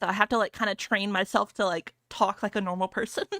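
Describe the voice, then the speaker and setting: A woman mumbles in a bright, sharp tone with fairly even intonation, in a very clean recording with a silent background and a dry, close sound with no echo. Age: 20s. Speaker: VTuber streamer. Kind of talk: casual livestream chat. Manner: mumbling. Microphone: close to mic, hides behind it.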